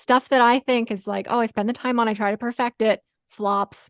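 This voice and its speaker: Over a quiet background, a woman talks at a fairly quick pace in a fairly high pitch. Her intonation is fairly even, and it is an ordinary speaking voice. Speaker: marketing business owner and podcast host. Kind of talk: casual interview host talk.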